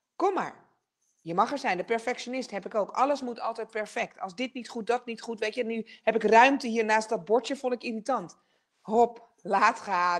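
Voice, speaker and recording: A woman with a fairly high voice speaks at a moderate pace with ordinary pitch variation. Her loudness swings a lot against a quiet background. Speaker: television presenter and speaker; television presenter, speaker. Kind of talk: online masterclass talk. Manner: energetic. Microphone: video call.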